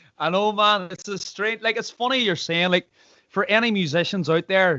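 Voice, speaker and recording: A man with a Northern Irish accent speaks in a high pitch at a moderate pace. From Northern Ireland, Derry. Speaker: podcast host and singer. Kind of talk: casual chat.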